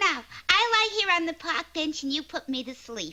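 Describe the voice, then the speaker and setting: Cartoonish character voice, squeaky and female-sounding, at an extremely high pitch, delivered at a moderate pace. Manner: pushy, eager.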